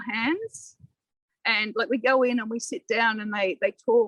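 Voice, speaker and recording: Very slowly, a woman with an Australian accent speaks at a fairly high pitch, the sound dry and close with no echo. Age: 60s. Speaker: local councillor. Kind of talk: podcast interview. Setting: outdoors in a community garden.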